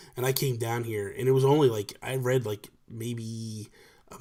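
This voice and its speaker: A man speaks at a medium pitch with monotone, flat intonation. His voice is somewhat breathy. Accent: American. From New Jersey. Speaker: podcast host and gaming YouTuber. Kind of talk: casual chat. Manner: talkative, off the cuff.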